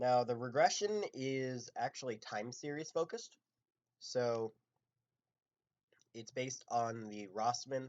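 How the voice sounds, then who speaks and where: The voice is quiet. It moves at a very slow pace. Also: man. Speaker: machine learning instructor. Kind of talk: live coding lecture. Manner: casual with many fillers.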